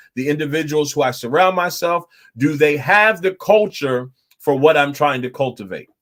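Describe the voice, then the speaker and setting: A man with an animated tone, ordinary pitch variation and a moderate pace. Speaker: pastor. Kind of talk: Bible study teaching. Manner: animated, repetitive.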